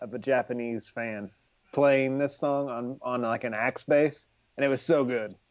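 This man has a plain, everyday voice pitched in his middle range. He talks at a moderate speed with fairly even intonation. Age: 40s. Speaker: music fan co-host. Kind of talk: casual chat.

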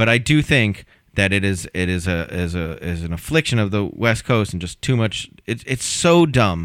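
A man speaks at a moderate pace with hardly any pauses, in an ordinary speaking voice that sits fairly low in pitch, with lively intonation over a very clean recording and a silent background. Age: 40s. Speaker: comedian. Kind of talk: casual chat. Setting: studio.

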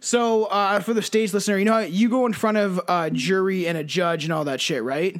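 With hardly any pauses, a man speaks at a fairly quick pace in a high pitch with ordinary pitch variation. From Canada. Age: 20s. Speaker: podcast host. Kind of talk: casual chat.

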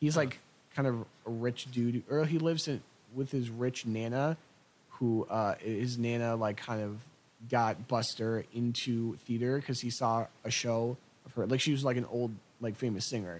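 A man's plain, everyday voice, medium in pitch, at a moderate pace with fairly even intonation. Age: 20s. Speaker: college student podcast co-host. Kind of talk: casual chat.

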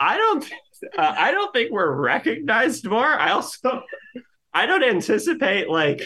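A man's extremely high, raised and projected voice with very wide pitch swings, very even loudness, and a fairly slow pace. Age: 20s. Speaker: reality TV contestant. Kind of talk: casual interview. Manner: halting, many fillers.

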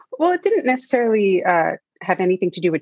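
The sound is dry and close, with no echo. A woman speaks in an American accent. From New York City, Manhattan. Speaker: playwright and screenwriter. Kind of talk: casual interview chat. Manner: easygoing, relaxed.

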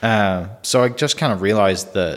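A man with an American accent, fairly low in pitch, at a fairly slow pace with ordinary pitch variation.

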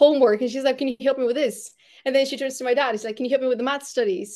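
A woman's high-pitched voice with a Bulgarian accent and fairly even intonation, over a quiet background. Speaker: podcast host and brand strategist. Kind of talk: casual interview.

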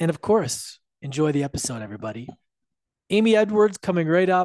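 Recorded dry and close with no echo, a man talks at a fairly quick pace in a fairly high pitch with very wide pitch swings. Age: 30s. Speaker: podcast host. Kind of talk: casual interview. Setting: video call.

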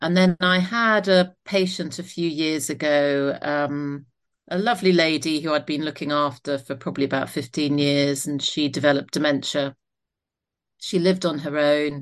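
With a southern English accent, a woman speaks at a moderate pace in a very deep, low pitch against a quiet background. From Isle of Wight, southern England. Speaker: doctor and author. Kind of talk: interview.

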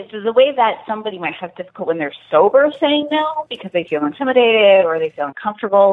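With an American accent, a woman talks at a very fast pace with hardly any pauses. Her fairly high pitch swings very widely. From US Deep South. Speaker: sexologist and consent educator. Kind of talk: podcast interview.

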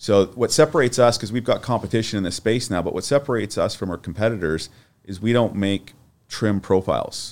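With an unremarkable speaking voice, a man talks at a fairly quick pace in a medium pitch with ordinary pitch variation, on a very clean recording with a silent background. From Vancouver, Canada. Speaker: building products executive. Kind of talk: casual chat. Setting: studio.

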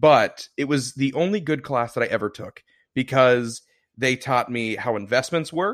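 The recording is very clean, with a silent background. It carries a plain, everyday voice at a moderate pace with ordinary pitch variation. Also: man. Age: 20s. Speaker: podcast co-host. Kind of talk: casual chat.

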